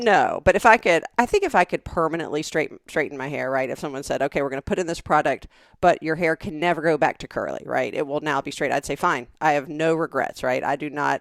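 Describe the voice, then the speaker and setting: A woman with a Southern US accent and a very deep, low pitch speaks with ordinary pitch variation and hardly any pauses, in a very clean recording with a silent background and a dry, close sound with no echo. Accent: Southern drawl. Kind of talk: casual podcast conversation.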